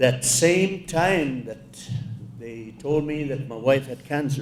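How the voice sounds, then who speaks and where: This man has a fairly high pitch. He speaks at a very slow pace. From Alaska. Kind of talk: keynote speech. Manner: slow, reflective.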